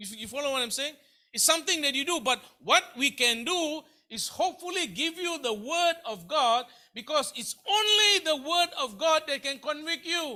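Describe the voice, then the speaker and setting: In a raised, projected voice of extremely high pitch, a man speaks at a moderate pace with a bright, sharp tone and lively intonation. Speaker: pastor. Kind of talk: sermon. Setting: church. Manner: repetitive, halting.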